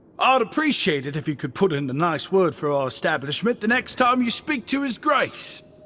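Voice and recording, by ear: A man in a put-on character voice with a high pitch, a bright, sharp tone, big pitch swings and a moderate pace.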